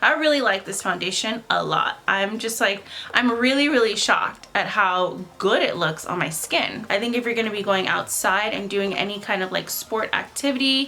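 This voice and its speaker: Noticeable background noise sits behind the speaker. She is a woman with a medium pitch. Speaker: beauty vlogger. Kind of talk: casual makeup review to camera. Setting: seated at home in front of a camera. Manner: loud, yelling into the camera.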